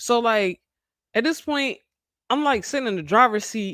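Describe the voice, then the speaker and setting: A woman with a fairly high pitch and a bright, sharp tone speaks at a moderate pace, animated and with lively intonation. The recording is very clean, with a silent background. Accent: American. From Maryland, Baltimore. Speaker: podcast co-host. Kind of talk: casual chat.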